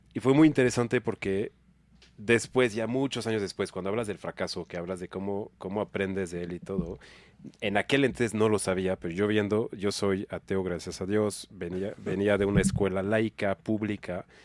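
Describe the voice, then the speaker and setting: Speaking at a moderate pace with fairly even intonation, a man's fairly low voice comes through a very clean recording with a silent background. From France. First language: French (speaking Spanish). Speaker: nonprofit executive. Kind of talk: casual podcast interview. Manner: casual slangy.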